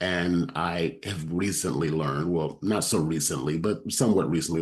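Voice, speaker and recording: At a moderate pace, a man with a very deep, low voice speaks with ordinary pitch variation. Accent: American. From Texas. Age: 60s. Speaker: podcast host, book coach. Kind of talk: interview podcast.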